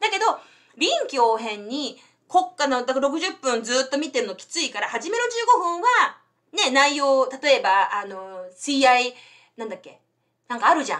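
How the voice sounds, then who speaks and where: A woman speaks at a moderate pace in a high voice, with very wide pitch swings. Her loudness swings widely, and the background is quiet. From Japan. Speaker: English tutor and YouTuber; English tutor, YouTuber. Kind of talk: bilingual live stream chat. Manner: code-switching English and Japanese. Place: home room. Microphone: webcam.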